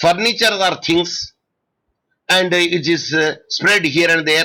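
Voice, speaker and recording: Loud and high-pitched, a man speaks at a fairly slow pace with a bright, sharp tone. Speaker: law lecturer. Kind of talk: online lecture. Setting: online video class. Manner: halting.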